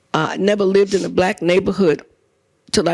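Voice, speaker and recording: A woman with an American accent at a medium pitch, very fast, with vocal fry. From New York City (Brooklyn, Lower East Side, East Harlem). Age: 70s. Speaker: journalist and author. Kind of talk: on-stage interview. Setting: live audience.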